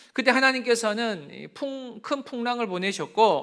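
A man's high-pitched voice shows ordinary pitch variation on a very clean recording with a silent background. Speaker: pastor. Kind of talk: sermon. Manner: gets loud when preaching.

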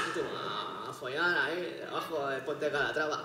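A man speaks amid noticeable background noise, and audible room echo can be heard. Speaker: stand-up comedian. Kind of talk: stand-up comedy monologue. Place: stage.

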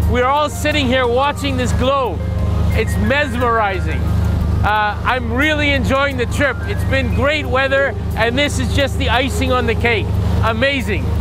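Music plays in the background of a dry recording with no echo. A man speaks at a fairly slow pace. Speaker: host. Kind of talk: casual vlog chat. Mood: awed, delighted. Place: boat.

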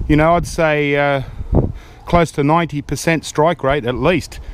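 A man with an Australian accent talks at a fairly slow pace in a fairly high pitch. The sound is dry, with no echo. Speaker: gardening video creator. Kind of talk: casual tutorial. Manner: casual, hesitant with many fillers. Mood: relaxed, pleased. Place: garden. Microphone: phone near.

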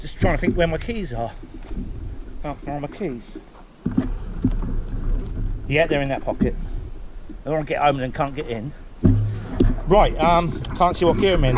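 A man speaks at a moderate pace with ordinary pitch variation and long, frequent pauses, the sound dry with no echo but loud background noise behind him. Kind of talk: casual phone chat. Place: street. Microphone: helmet.

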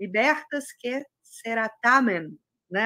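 Speaking at a very slow pace, a woman has a fairly high pitch for a woman. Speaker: spiritist study facilitator. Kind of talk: lecture.

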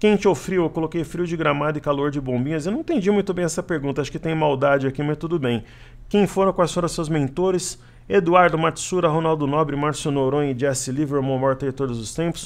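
With an unremarkable speaking voice, a man talks at a fairly quick pace in a fairly high pitch with ordinary pitch variation. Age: 40s. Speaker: stock market trader and analyst. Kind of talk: casual Q&A with viewers; market analysis commentary.

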